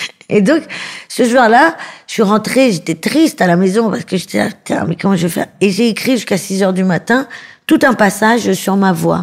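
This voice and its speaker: A woman with an ordinary speaking voice talks at medium pitch and a moderate pace, her intonation lively. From Paris suburbs, France. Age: 30s. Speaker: comedian. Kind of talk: interview.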